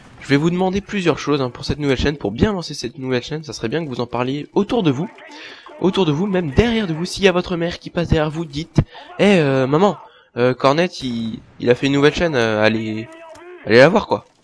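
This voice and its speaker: A man with a fairly high pitch and lively intonation races at a very fast pace, his loudness swinging widely over noticeable background noise. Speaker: gaming youtuber. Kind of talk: gameplay commentary. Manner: animated.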